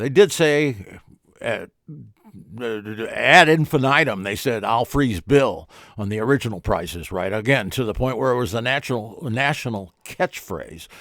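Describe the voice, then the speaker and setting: Speaking at a fairly slow pace, a man with a medium pitch and a plain, everyday voice uses lively intonation. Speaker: talk show host. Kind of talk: casual talk radio style commentary.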